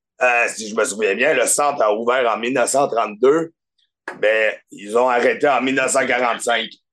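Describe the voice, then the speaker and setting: A man talks at a very slow pace in a Quebec accent. His medium pitch stays in fairly even intonation. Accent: Québécois French. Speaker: podcast guest. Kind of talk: casual chat.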